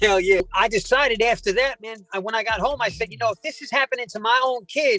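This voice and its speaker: Over music in the background, a man with an extremely high pitch speaks in a raised, projected voice at a very fast pace with hardly any pauses, his animated tone showing ordinary pitch variation and big swings in loudness, all in a dry, close sound with no echo. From South Jersey. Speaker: predator catcher and prank caller. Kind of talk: interview storytelling.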